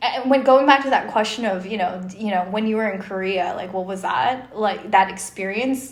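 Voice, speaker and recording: There is noticeable background noise behind a woman speaking at a fairly high pitch. Her pace is moderate, with ordinary pitch variation. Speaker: podcast co-host. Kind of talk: casual chat.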